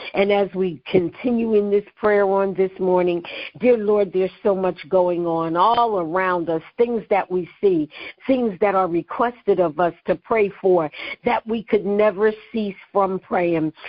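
With an American accent, a woman speaks fairly slowly at a medium pitch and with ordinary pitch variation. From Philadelphia, US Northeast. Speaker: prayer minister leading a call. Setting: weekly prayer conference call. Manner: impassioned, cadenced, rhythmic repetition ("I call out..."), building in volume; earnest and reverent, with a preacherly lilt.

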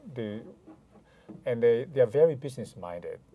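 With a Chinese accent, this voice has a dark, mellow tone and ordinary pitch variation. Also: man. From China (Hainan). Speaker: lawyer. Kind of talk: interview conversation. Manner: hesitant, frequent fillers.

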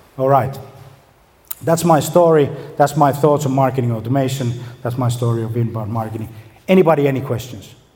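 A man speaks with a Finnish accent at a fairly quick pace. He leaves long, frequent pauses. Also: medium pitch for a man, ordinary pitch variation. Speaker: marketing agency owner. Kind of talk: conference talk. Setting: stage with audience.

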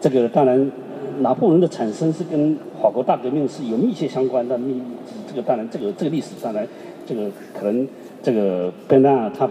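Lively intonation moves at a fairly slow pace, broken by long, frequent pauses, with noticeable background noise. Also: man. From southeast China. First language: Chinese (speaking French). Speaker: artist. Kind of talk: panel discussion with interpreter.

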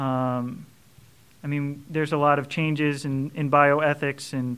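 A man with a St. Louis accent speaks at a fairly slow pace and a fairly high pitch. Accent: St. Louis Midwestern American. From St. Louis, Missouri. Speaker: transitional deacon. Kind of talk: interview conversation.

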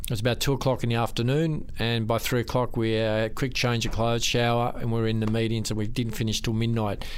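A man speaks at a very fast pace with hardly any pauses, his pitch medium and his intonation monotone and flat. His loudness stays very even, and background noise is noticeable. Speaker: radio host. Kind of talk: radio interview.

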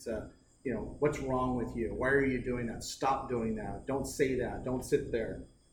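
A man with an American accent speaks in a monotone, flat way at medium pitch and a moderate pace, with vocal fry and audible room echo. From eastern Oregon, US Northwest. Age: 40s. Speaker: business co-founder and mentor. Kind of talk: casual chat.

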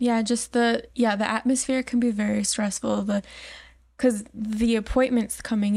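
At a moderate pace, a woman speaks in a fairly high, somewhat breathy voice with monotone, flat intonation. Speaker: medical clinic staff. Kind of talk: casual chat.

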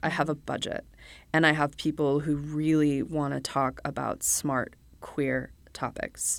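On a very clean recording with a silent background, a woman speaks slowly in a very deep, low, monotone voice. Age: 40s. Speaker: media producer. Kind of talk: casual chat. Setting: studio.

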